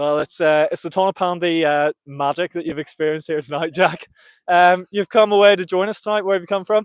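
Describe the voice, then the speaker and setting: With a Northern Irish accent, a man talks at a fairly quick pace and a high pitch with ordinary pitch variation, the sound dry and close with no echo. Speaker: race commentator. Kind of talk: live commentary and trackside interview. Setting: outdoors at athletics track, live stream.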